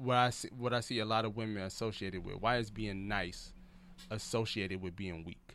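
A man's fairly low voice at a moderate pace, with ordinary pitch variation, on a very clean recording with a silent background. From Detroit, US Midwest. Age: 30s. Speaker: comedian and podcast host. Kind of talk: casual chat.

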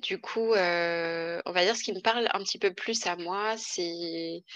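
A woman speaks at a very slow pace with a bright, sharp tone. Her pitch is medium and her intonation fairly even. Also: quiet background. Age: 20s. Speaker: wine and spirits trade employee. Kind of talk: interview, personal testimony.

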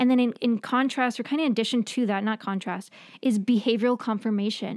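A woman with a New York accent talks at a fairly quick pace and a fairly high pitch. Her pitch variation is ordinary, on a very clean recording with a silent background. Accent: New York American. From New York, US. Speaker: therapist and professor. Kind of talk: casual interview chat. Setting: studio, in person.

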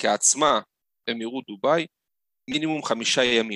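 This man's voice sits at a medium pitch with a bright, sharp tone and ordinary pitch variation. He speaks at a fairly slow pace, and the sound is dry and close with no echo. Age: 30s. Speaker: tour operator. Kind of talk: interview.

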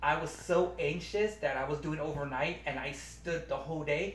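Against noticeable background noise, a man with an American accent and fairly high pitch talks at a moderate pace with fairly even intonation. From Long Beach, California. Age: 30s. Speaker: superfan and grocery store worker. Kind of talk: casual chat. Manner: halting.

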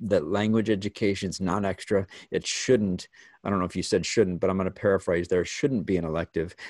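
A man's fairly low voice with an American accent, fairly quick pace, over a quiet background. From northern Illinois (Elgin). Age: 50s. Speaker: podcast host, school staff. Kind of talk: casual interview. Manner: halting, repeats words.

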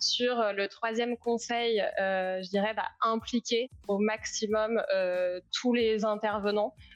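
Over music in the background, a woman speaks in a medium pitch with monotone, flat intonation, the sound dry and close with no echo. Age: 30s. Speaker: startup founder and CEO. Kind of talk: live interview.

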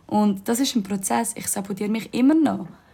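The woman's voice has a somewhat breathy quality. Its tone is dark and mellow. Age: 20s. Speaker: yoga teacher and podcast host. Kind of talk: casual monologue. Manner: animated.

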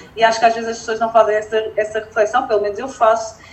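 Noticeable background noise sits behind a woman speaking with a fairly high pitch. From northern Portugal (Felgueiras). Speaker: entrepreneur and environmental engineer. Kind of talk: casual interview chat.

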